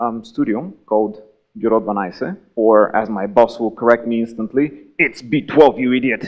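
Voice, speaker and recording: Speaking at a moderate pace, a man with a Bulgarian accent uses a medium pitch and ordinary pitch variation. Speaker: game designer. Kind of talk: conference talk.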